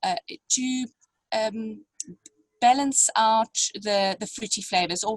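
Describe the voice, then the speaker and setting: Somewhat breathy and fairly high in pitch, a woman speaks at a very slow pace in a dry, close sound with no echo. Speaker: winemaker. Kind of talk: online wine tasting masterclass. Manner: halting, many fillers.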